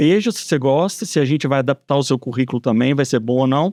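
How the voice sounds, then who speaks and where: Over a quiet background, a man with a Minas Gerais accent talks at a fairly quick pace with a fairly high pitch and ordinary pitch variation. The sound is dry and close, with no echo. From Brazil, Belo Horizonte (Minas Gerais) from age ten. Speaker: civil engineer. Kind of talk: podcast interview.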